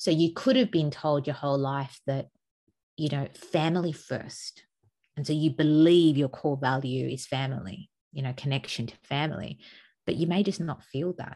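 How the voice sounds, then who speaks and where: Over a quiet background, a woman with an Australian accent speaks at a moderate pace, her pitch very deep and low and her tone dark and mellow. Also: ordinary pitch variation. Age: 40s. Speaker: podcast co-host. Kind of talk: casual chat.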